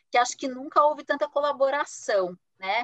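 A woman talks at a fairly quick pace with ordinary pitch variation. The sound is dry and close, with no echo. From Brazil, interior of Paraná. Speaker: human resources executive. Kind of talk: interview.

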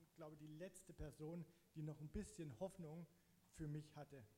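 A man with a fairly high pitch at a fairly quick pace, over noticeable background noise. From eastern Saxony, Germany (Zittau Mountains). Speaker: church member giving testimony. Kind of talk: testimony. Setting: church stage, sharing a microphone.

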